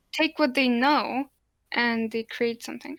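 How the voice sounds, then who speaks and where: A woman speaks in a high pitch. The recording is very clean with a silent background, and the sound is dry and close with no echo. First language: Polish. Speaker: podcast co-host. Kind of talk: casual chat.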